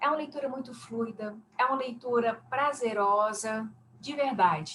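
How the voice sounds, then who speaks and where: A woman speaks in a fairly high, somewhat breathy voice with ordinary pitch variation. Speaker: academic paper discussant, university teacher. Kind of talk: academic feedback on a paper.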